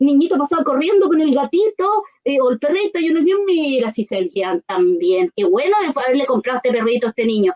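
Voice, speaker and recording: Her pitch swings very widely. The woman talks at a fairly quick pace. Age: old. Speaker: neuroscience and education expert. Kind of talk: radio interview.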